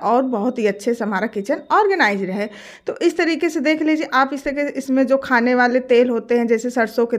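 Over a quiet background, a woman talks at a moderate pace with hardly any pauses, her pitch high and her intonation lively. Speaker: home tips creator. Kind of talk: tutorial.

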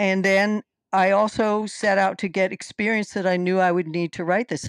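In an American accent, a woman speaks at a medium pitch with an unremarkable speaking voice. The sound is dry with no echo, and the background is quiet. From US mid-Atlantic, Brandywine valley (Delaware/Pennsylvania); US mid-Atlantic. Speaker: fantasy author and illustrator; guest. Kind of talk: interview. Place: home room. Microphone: headset.

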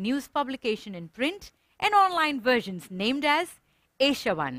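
Bright and sharp in tone, a woman speaks at a high pitch with very wide pitch swings and a moderate pace, in dry sound with no echo and a quiet background. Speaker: event host. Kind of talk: ceremony hosting. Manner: formal. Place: studio.

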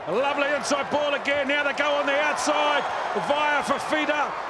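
Over noticeable background noise, a man with an extremely high pitch speaks at a moderate pace. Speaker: rugby commentator. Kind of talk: live rugby match commentary. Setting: match broadcast.

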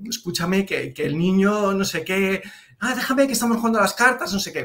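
A man's voice carries a bright, sharp tone. The background is quiet. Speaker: remote guest. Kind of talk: interview answer. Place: home room. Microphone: earbuds.

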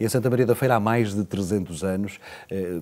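A man's dark, mellow tone at a fairly low pitch, at a fairly slow pace. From Portugal. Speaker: priest. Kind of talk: interview. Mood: calm, earnest. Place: studio. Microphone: lapel.

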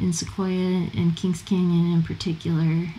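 Using an ordinary speaking voice, a woman talks at a fairly slow pace. She has an American accent and a medium pitch. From California. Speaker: travel guide author and former park ranger. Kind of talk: casual chat.

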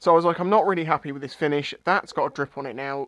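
The sound is dry with no echo as a man talks at a very fast pace. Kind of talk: casual vlog explanation. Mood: wry, self-deprecating. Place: garage.

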